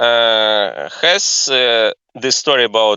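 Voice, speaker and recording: With a non-native accent, a man speaks at a medium pitch. His pace is very slow. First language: not English. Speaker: book club leader. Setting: voice chat on Discord. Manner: halting.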